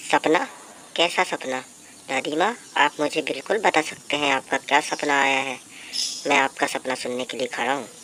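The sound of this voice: Over clear background noise, a woman does a cartoonish character voice with very deep, low pitch at a moderate pace. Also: ordinary pitch variation.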